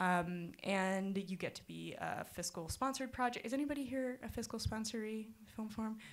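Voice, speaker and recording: Barely pausing, a woman talks with a fairly high pitch and ordinary pitch variation. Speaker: film organization staff speaker. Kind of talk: presentation to audience. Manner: fast.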